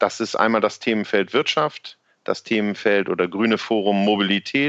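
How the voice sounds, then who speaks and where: A man speaks at a fairly slow pace. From Worpswede area, northern Germany. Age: 40s. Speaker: local party spokesperson. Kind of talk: casual interview.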